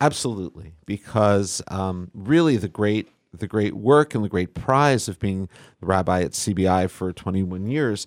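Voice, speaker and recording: A plain, everyday voice: a man at a fairly low pitch with ordinary pitch variation and a fairly slow pace, a dry, close sound with no echo, and a very clean recording with a silent background. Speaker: rabbi. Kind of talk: interview. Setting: studio.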